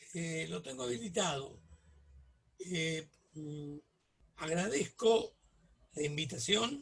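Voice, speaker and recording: At a very slow pace with long, frequent pauses, a man speaks with lively intonation and a fairly high pitch. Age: 70s. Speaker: political activist. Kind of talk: casual chat.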